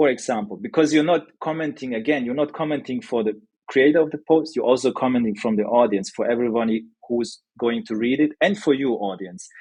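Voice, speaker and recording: A man at medium pitch, with lively intonation, a fairly quick pace and a non-native accent. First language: not English. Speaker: newsletter founder, sales expert. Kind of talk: podcast interview. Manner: hesitant, many fillers.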